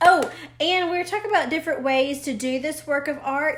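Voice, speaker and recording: A woman with a strong Southern US accent speaks in a high voice with ordinary pitch variation, and the room echo is audible. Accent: thick Southern US. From US South. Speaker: art teacher. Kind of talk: live-stream drawing lesson. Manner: casual, hesitant with many fillers.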